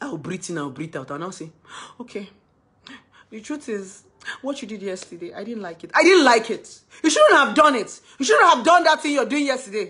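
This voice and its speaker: At a fairly quick pace, a woman speaks in a high, bright, sharp voice. Her pitch swings very widely and her loudness swings a lot. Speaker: speaker sharing relationship stories. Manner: loud, tends to shout when talking.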